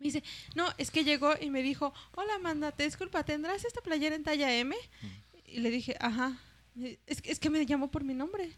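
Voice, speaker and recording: Long, frequent pauses break up a woman's high-pitched speech. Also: ordinary pitch variation, moderate pace. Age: 20s. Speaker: comedian, podcast host. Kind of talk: casual chat.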